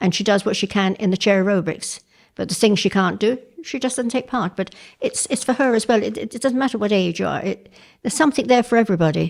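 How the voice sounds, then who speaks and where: Speaking very fast in an English accent, a woman with a fairly high voice and ordinary pitch variation is heard in a very clean recording with a silent background. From England. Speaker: women's shed member. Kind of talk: interview testimony.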